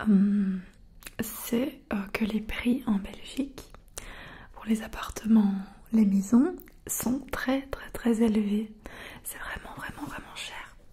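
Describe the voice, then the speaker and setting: A soft-spoken woman talks at a very slow pace, leaving long, frequent pauses. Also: ordinary pitch variation, big swings in loudness. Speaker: ASMR creator. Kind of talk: casual soft-spoken Q&A chat. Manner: soft close-mic ASMR voice. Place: home room. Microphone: studio mic.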